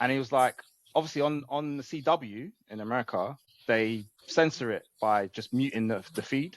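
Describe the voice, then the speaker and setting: A man with an English accent talks at a moderate pace and medium pitch, with ordinary pitch variation. The sound is dry and close, with no echo. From England. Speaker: wrestling podcast co-host. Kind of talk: casual chat.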